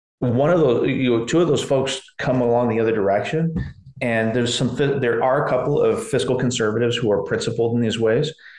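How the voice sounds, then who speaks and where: A man talks fairly quickly at a medium pitch, his loudness very even. Room echo is audible. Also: fairly even intonation. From US Pacific Northwest (McMinnville, Oregon). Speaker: professor of higher education. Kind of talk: interview, explanatory. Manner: halting, with many repeated words.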